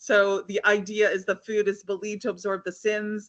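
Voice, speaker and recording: A woman with a medium pitch talks in an energetic tone. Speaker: HR consultant speaker. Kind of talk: webinar presentation. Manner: fast.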